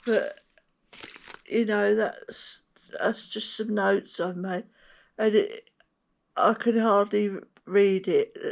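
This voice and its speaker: Very slowly, a woman speaks with long, frequent pauses. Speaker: stroke survivor and motorhome vlogger. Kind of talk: casual chat. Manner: halting, with many hesitations and repeats; searches for words, sometimes wrong words.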